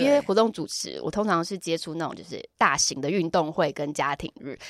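A woman is speaking. Her pitch swings very widely. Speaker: yoga and dance teacher, former radio host, event emcee. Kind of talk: casual chat. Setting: recording studio.

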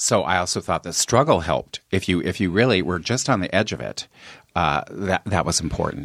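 With an American accent, a man talks fairly quickly in a very deep, low pitch, showing vocal fry and lively intonation. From Colorado. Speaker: comedian. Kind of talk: casual chat.

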